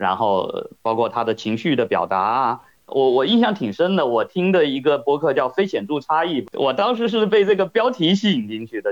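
This man's pitch swings very widely as he talks at moderate speed. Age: 40s. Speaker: podcast listener. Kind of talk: casual chat.

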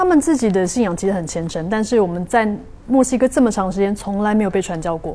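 A woman with a Taiwanese accent, very fast and with lively intonation. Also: medium pitch for a woman. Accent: Taiwanese Mandarin. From Taipei, Taiwan. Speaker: hypnotist and guest. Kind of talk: casual interview chat.

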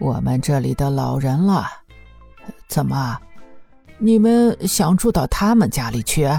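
A woman's put-on character voice, extremely low and dark, mellow in tone, with a slightly husky edge, vocal fry, ordinary pitch variation and a fairly slow pace over faint background music

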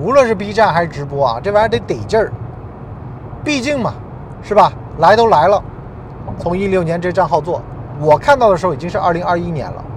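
Over noticeable background noise, a man talks at a very fast pace in an animated tone, his high pitch swinging very widely. He leaves long, frequent pauses. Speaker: podcast host. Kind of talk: monologue podcast talk. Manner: animated, conversational.

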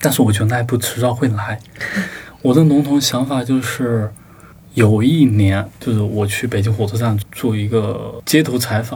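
A man's medium-pitched voice at a moderate pace, with fairly even intonation and noticeable background noise. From Sichuan, China (rural). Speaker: book review editor. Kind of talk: casual chat.

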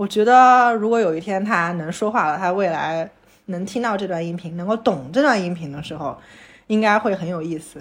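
Using an ordinary speaking voice, a woman talks at a moderate pace. Her pitch is medium, with ordinary variation. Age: 30s. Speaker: podcast co-host and new mother. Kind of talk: casual chat.

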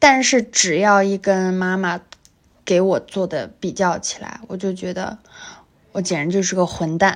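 Speaking at a fairly slow pace, a woman keeps her pitch in the medium range. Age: 20s. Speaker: podcast co-host. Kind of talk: casual chat.

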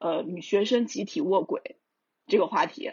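Very wide pitch swings mark speech delivered at a moderate pace. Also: man. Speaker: book translator and publishing editor. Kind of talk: casual podcast discussion.

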